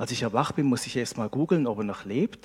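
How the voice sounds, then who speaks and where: The sound is dry and close, with no echo. A man speaks at a medium pitch. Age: 40s. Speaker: preacher. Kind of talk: sermon. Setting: church service with congregation. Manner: animated.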